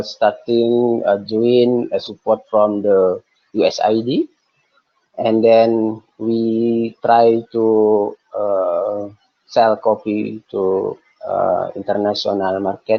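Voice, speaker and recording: This man's pitch sits at a medium level. He speaks at a very slow pace. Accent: Indonesian. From Indonesia. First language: Indonesian. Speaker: coffee cooperative representative. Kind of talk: webinar presentation. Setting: video call. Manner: slow, halting.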